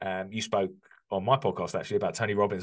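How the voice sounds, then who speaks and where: Fairly low-pitched, a man with an English accent speaks at a very fast pace. His intonation stays fairly even against a quiet background. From UK. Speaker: construction business coach. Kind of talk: interview conversation.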